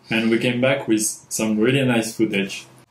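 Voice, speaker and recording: A medium-pitched man with a French accent, in audible room echo. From France. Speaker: filmmaker and sound designer. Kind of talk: tutorial. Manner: halting, many fillers. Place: home room.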